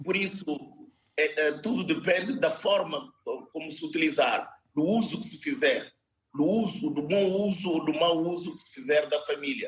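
Lively intonation and big swings in loudness mark this man's speech, which sits at a high pitch. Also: moderate pace. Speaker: party political adviser. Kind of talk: televised political debate. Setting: video call.

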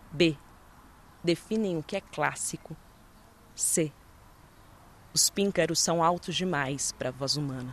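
Her pitch very deep and low, a woman speaks at a fairly slow pace, leaving long, frequent pauses. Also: ordinary pitch variation. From Brazil. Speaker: poet and actress. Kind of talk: interview; poetry reading.

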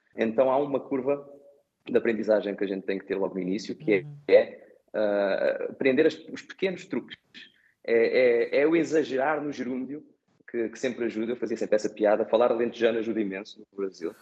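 Talking at a fairly quick pace, a man with a slight Brazilian accent keeps a medium pitch and ordinary pitch variation. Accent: Portuguese with slight Brazilian tinge. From Portugal, Setúbal. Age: 30s. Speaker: airport designer, emigrant. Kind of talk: interview. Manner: halting, many repetitions.

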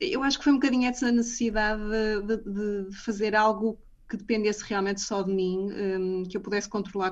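A woman speaks at a fairly quick pace with a medium pitch and fairly even intonation. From northern Portugal, Matosinhos. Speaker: comedian and business manager. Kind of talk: radio interview. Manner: halting, many fillers and repetitions.

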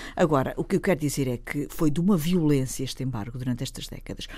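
Very deep and low, a woman's dark, mellow voice moves with ordinary pitch variation. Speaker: politician. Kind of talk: radio panel discussion.

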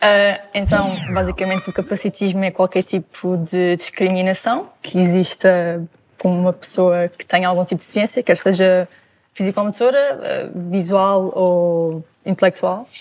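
Someone with a normal speaking voice talks at a fairly slow pace with fairly even intonation. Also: woman, medium pitch for a woman. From Sintra, Portugal. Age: 20s. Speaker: Paralympic swimmer. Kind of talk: TV panel discussion.

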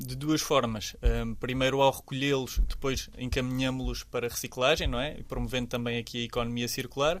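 A man speaks at a moderate pace. He leaves hardly any pauses. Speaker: environmental association representative. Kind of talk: interview. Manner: halting.

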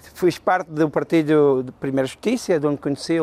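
Dry and close with no echo, a man's dark, mellow voice moves at a moderate pace on a very clean recording with a silent background. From Madeira, raised in Venezuela from childhood. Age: 40s. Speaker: politician. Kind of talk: interview.

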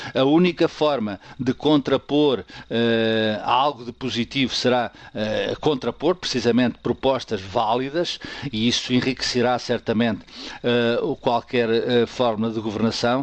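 A man's medium-pitched voice with ordinary pitch variation, at a fairly slow pace with long, frequent pauses. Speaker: political commentator. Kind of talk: radio commentary.

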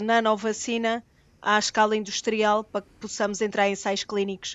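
A woman speaks with a fairly high pitch. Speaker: vaccine researcher and pharmacy professor. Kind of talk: radio panel discussion.

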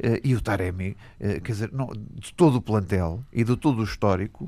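Here a man talks at a fairly quick pace with a fairly low pitch. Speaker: football pundit, club fan. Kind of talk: radio debate.

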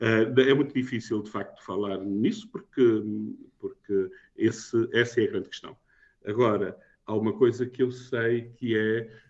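The speaker moves at a fairly slow pace. Intonation stays fairly even. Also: man, medium pitch for a man. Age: 60s. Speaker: novelist. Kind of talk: interview. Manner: halting, many fillers and repetitions.

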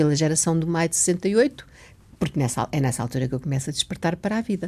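A woman's medium-pitched, somewhat breathy voice with very wide pitch swings, at a fairly quick pace. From Mozambique. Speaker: writer and teacher. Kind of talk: interview. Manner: halting.

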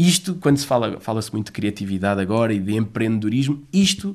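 A man talks at a very fast pace. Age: 30s. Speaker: children's play association coordinator. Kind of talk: interview. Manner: halting, with many repetitions.

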